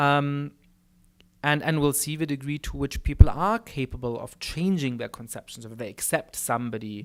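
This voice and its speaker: The recording is very clean, with a silent background. A man speaks at a moderate pace with ordinary pitch variation. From Germany. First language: German. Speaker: political scientist. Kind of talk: lecture Q&A answer. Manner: many fillers and repetitions.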